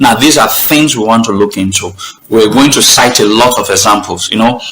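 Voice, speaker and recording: Amid noticeable background noise and audible room echo, a man with a medium pitch talks at a fairly quick pace, keeping his loudness very even and his pitch variation ordinary. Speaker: online talk show host. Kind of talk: live stream talk. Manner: halting.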